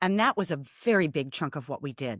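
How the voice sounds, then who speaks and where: The sound is dry and close with no echo as a woman speaks with an American accent. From US Midwest, Milwaukee. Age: 50s. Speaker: former marketing business owner. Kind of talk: interview.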